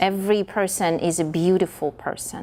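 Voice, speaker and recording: A woman is speaking. She has a Russian accent. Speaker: performer, dancer. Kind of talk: interview. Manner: halting, many repetitions.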